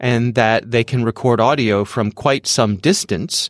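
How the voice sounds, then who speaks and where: Here is a man with a normal speaking voice at medium pitch and a fairly slow pace. The sound is dry and close with no echo, on a very clean recording with a silent background. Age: 50s. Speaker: podcast host. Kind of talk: casual chat.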